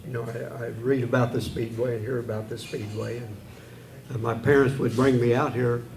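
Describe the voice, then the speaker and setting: A man with an ordinary speaking voice talks at a moderate pace, his medium pitch held in fairly even intonation. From Indianapolis, Indiana. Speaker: author and racing historian, guest. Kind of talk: casual conversational interview answer.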